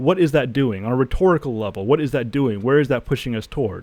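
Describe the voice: With lively intonation, a passage gets plain reading aloud.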